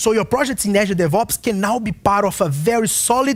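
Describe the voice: The pace is fairly quick. Intonation stays lively throughout. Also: man.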